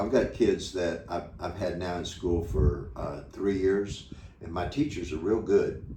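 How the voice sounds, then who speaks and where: In an American accent, a man speaks at a fairly slow pace with a very deep, low pitch and ordinary pitch variation, and audible room echo surrounds him. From United States. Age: 70s. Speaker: retiree running a children's charity. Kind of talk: interview. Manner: halting, repeats words.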